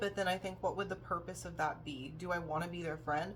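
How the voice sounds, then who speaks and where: Audible room echo surrounds a woman talking at a moderate pace with vocal fry. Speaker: vlogger. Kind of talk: personal vlog monologue. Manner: halting, many fillers.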